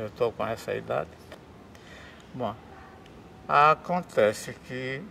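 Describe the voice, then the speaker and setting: A man speaks at a very slow pace. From Paraíba, northeast Brazil. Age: 70s. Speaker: dancer and dance teacher. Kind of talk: interview, life story.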